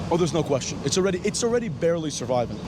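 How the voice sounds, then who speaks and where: Noticeable background noise under a fairly high-pitched male voice. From Moscow, Russia. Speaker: interviewee on the street. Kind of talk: street interview.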